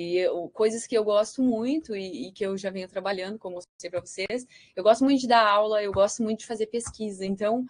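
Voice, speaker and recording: The woman talks at a fairly quick pace with hardly any pauses, her fairly high pitch showing ordinary variation. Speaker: researcher. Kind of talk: lecture. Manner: halting.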